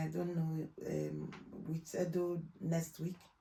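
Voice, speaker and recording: In a Nigerian accent, a woman speaks very slowly at a fairly low pitch with a dark, mellow tone. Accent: Nigerian accent, kept. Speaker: trainer in law and healthcare. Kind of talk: interview. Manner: loud and clear; halting.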